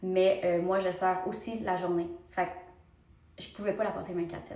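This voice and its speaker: Over noticeable background noise and audible room echo, the voice carries a Quebec accent with fairly even intonation. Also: woman. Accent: Québécois French. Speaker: beauty vlogger. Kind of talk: casual vlog talk to camera.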